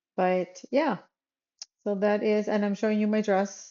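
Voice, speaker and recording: With a Minnesotan accent, a woman speaks at a medium pitch and a moderate pace in a monotone, flat intonation. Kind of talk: casual chat; tutorial. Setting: voiceover recorded separately. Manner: casual, hesitant fillers.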